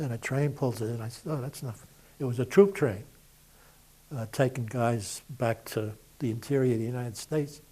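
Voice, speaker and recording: Somewhat breathy, a man of medium pitch with a dark, mellow tone speaks at a moderate pace with fairly even intonation. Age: 80s+. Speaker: war veteran. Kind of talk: oral history interview. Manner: conversational, with fillers.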